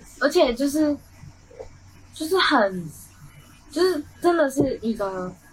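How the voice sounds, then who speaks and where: A woman's high-pitched voice with very wide pitch swings, a very slow pace and long, frequent pauses, over noticeable background noise. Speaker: college radio host. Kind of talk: casual chat. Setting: studio.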